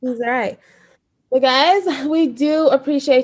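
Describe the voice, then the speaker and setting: A woman speaks with fairly even intonation. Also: quiet background. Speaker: podcast co-host. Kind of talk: casual chat.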